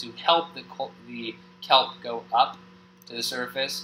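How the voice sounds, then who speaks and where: A man speaks at a medium pitch and a fairly slow pace. Noticeable background noise runs beneath him. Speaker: gaming youtuber. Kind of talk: gameplay tutorial. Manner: halting.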